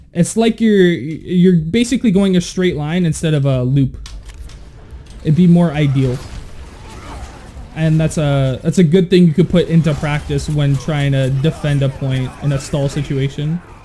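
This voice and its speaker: Noticeable background noise sits behind a man whose fairly high voice moves at a moderate pace with ordinary pitch variation. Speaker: video game coach. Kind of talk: gameplay review commentary. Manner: casual, with many fillers.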